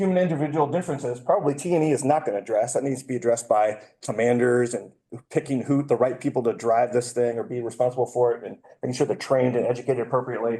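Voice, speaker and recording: At a very fast pace, a man talks with a medium pitch and a dark, mellow tone. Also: ordinary pitch variation. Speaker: conference speaker, defense test and evaluation researcher. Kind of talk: conference talk. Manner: hesitant, many fillers.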